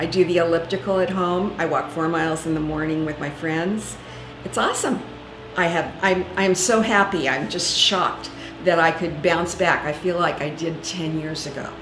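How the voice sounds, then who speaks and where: Over music in the background and audible room echo, a woman with a fairly low pitch talks at a moderate pace with fairly even intonation. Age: 60s. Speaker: patient. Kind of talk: testimony.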